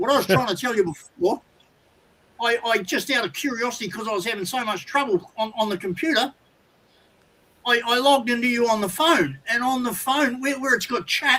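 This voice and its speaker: A man with an Australian accent speaks in a raised, projected voice at a fairly quick pace. His pitch is extremely high. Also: ordinary pitch variation. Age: 60s. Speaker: caller. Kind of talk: casual chat. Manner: halting.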